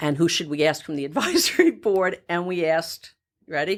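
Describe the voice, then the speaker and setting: A woman speaks with a fairly low pitch and an animated tone at a moderate pace. The recording is very clean, with a silent background. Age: 60s. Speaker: nonprofit co-founder, former finance worker. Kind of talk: interview conversation. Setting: studio.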